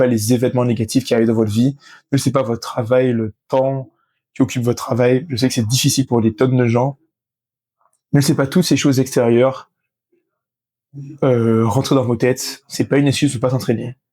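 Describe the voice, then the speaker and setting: This man talks at a fairly quick pace with long, frequent pauses, in a medium-pitched voice with a dark, mellow tone and monotone, flat intonation. His loudness is very even, and the recording is very clean with a silent background. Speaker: fitness content creator. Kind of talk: motivational vlog. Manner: fast.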